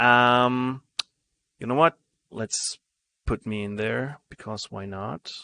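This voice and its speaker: A man with a German accent speaks very slowly at a medium pitch, leaving long, frequent pauses, with ordinary pitch variation and big swings in loudness. His tone is bright and sharp, and the sound is dry and close with no echo. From Germany. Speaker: game streamer. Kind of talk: live gameplay commentary. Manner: hesitant, many fillers.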